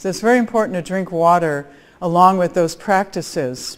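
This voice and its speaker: With an American accent and a plain, everyday voice, a woman speaks at a medium pitch and a fairly quick pace. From US Midwest, Chicago area. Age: 60s. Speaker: biophysicist, conference speaker. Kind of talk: conference talk.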